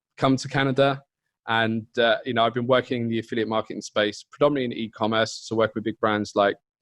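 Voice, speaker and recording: A man's medium-pitched, monotone voice with a slight British accent, fairly quick in pace, flat in intonation, and dry and close with no echo. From UK. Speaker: partner marketing manager. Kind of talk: interview. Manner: casual.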